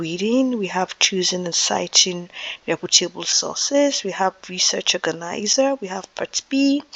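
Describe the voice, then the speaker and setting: There is noticeable background noise behind this woman. She speaks at a moderate pace with lively intonation. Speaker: teacher. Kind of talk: lecture. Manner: soft-spoken; halting.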